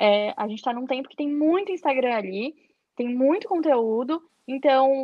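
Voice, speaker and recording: A woman speaks at a fairly slow pace in a high pitch, her intonation lively. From Florianópolis, southern Brazil. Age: 20s. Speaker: fashion rental entrepreneur. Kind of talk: casual interview chat.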